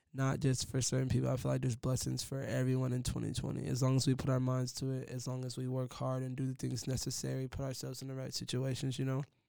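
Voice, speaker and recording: The delivery is very fast, with a dark, mellow tone. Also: man. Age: 20s. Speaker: motivational podcaster. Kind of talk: motivational monologue. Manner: casual slangy delivery; low energy.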